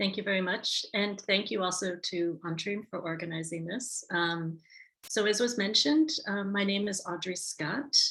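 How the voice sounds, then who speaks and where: A woman with an American accent speaks at medium pitch and a moderate pace with ordinary pitch variation. It is a normal speaking voice. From United States. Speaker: tourism marketing advisor. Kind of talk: webinar presentation. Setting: video call.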